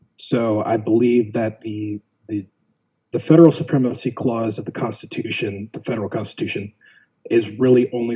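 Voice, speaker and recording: A man's somewhat breathy voice with a dark, mellow tone, ordinary pitch variation, and an American accent. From US Southwest, Arizona (West Phoenix). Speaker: school board member and political candidate. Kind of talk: interview.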